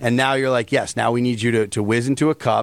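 A man with an American accent uses a normal speaking voice at a medium pitch with ordinary pitch variation. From US East Coast. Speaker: comedian. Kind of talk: casual chat.

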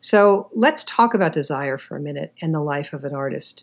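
A woman speaks with an American accent at a moderate pace. It is an ordinary speaking voice with lively intonation. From New York City, Queens. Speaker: podcast host and writing teacher. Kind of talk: interview.

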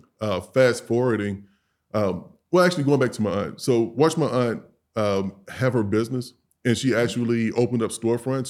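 On a very clean recording with a silent background, a man with a plain, everyday voice and an American accent talks at a fairly quick pace in a medium pitch with ordinary pitch variation. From St. Louis, Missouri, US Midwest. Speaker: grooming products business owner. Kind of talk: casual interview.

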